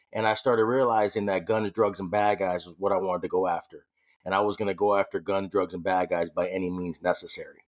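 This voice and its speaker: A man talks with an American accent in a fairly low pitch. He goes at a very fast pace with fairly even intonation. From New York City, later California. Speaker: police officer. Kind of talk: personal story in interview. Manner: a little loud.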